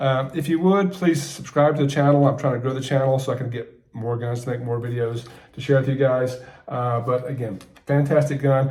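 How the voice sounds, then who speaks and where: Recorded with audible room echo, a man speaks at a fairly quick pace and medium pitch, somewhat breathy, with fairly even intonation. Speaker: gun reviewer YouTuber. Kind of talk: product review. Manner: fast.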